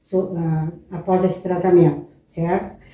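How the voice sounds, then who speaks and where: A woman with a dark, mellow tone speaks at a very slow pace. Room echo can be heard. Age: 70s. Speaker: patient giving testimonial. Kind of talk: testimony.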